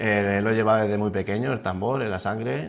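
A man's voice with vocal fry. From Spain, Hellín (Albacete province); Spain. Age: 20s. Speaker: fitness instructor, beauty pageant contestant; fitness instructor. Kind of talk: TV interview. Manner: halting, many repetitions and fillers. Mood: modest, calm, slightly nervous. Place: studio. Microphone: lapel.

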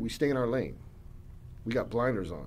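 A man with an American accent talks over light background noise. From US military family; raised partly in California, then Northern Virginia; California, Virginia. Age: 50s. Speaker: author and documentary filmmaker, former prisoner; podcast guest. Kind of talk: casual interview. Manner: hesitant, many fillers and repetitions. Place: studio. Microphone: studio mic.

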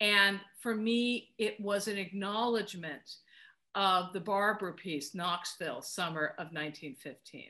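Against a quiet background, a woman with an American accent speaks fairly slowly in a bright, sharp tone with ordinary pitch variation. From US West Coast (Los Angeles). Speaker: film composer. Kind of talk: interview. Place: home room. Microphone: webcam.

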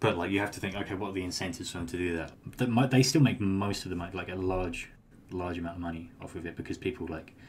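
A man with a British accent talks at a very fast pace, his voice very deep, low in pitch and somewhat breathy. Audible room echo is present. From UK. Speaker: crypto trader. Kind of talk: casual interview chat.

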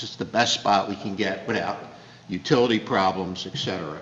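The recording has audible room echo and light background noise. A man speaks fairly slowly in a fairly low voice with fairly even intonation. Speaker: borough official; council member. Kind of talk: council meeting discussion. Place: hall. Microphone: podium.

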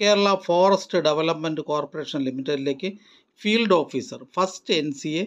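Moderate pace and ordinary pitch movement in a man's fairly high voice

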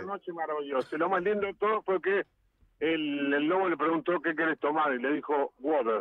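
A man with a Uruguayan accent and a fairly high pitch, ordinary pitch variation, moderate pace, dry echo-free sound and a quiet background. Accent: Uruguayan Rioplatense Spanish. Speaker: musician. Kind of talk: interview answer. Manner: casual, lively storytelling. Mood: humorous, joking. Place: studio.

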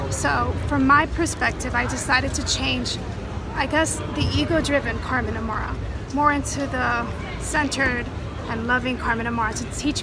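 A woman speaks at a moderate pace. Crowd noise can be heard in the background. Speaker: interview guest. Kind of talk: interview answer. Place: street. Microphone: phone near.

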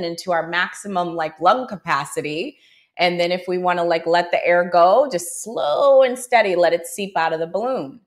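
A woman's ordinary speaking voice at medium pitch moves at a moderate pace with hardly any pauses and ordinary pitch variation. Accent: American. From Buffalo, New York. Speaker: yoga teacher. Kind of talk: interview storytelling.

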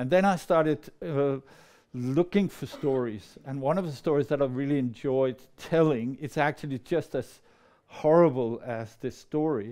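A man with a Danish accent speaks at a moderate pace and a fairly high pitch, with ordinary pitch variation. His tone is dark and mellow, and the background is quiet. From Denmark, near Copenhagen. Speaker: storyteller. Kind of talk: storytelling performance. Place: meeting room. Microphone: lapel.

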